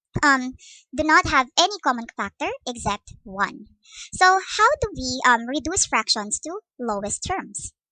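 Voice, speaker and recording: A woman speaks in a raised, projected voice with a Visayan Filipino accent, her high pitch swinging very widely, the tone bright and sharp, and the sound dry and close with no echo. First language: Cebuano (Bisaya). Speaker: math teacher. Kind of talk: lecture. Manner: hesitant with fillers.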